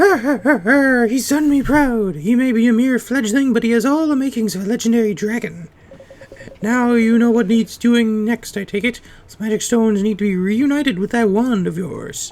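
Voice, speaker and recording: This is a put-on character voice pitched fairly high. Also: moderate pace. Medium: game stream. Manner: old-fashioned, hearty.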